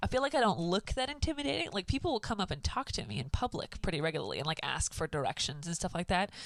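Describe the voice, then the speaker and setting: A woman speaks loudly at a medium pitch. Her pitch swings very widely. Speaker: podcast co-host. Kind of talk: casual chat.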